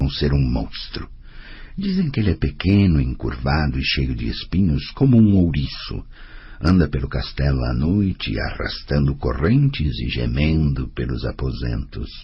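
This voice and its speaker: A put-on character voice, rumbling, with lively intonation at a moderate pace over light background noise. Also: man, very deep, low pitch for a man. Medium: audio drama. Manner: grumbling, blunt.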